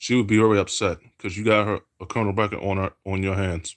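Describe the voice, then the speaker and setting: Fairly quick speech from a man at a fairly low pitch, on a very clean recording with a silent background. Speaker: streamer. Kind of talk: casual monologue. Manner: fast; animated.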